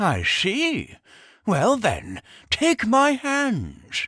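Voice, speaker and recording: A man does a put-on character voice at an extremely high pitch on a very clean recording with a silent background. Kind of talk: comic overacting. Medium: read story. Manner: snappish, impatient, condescending.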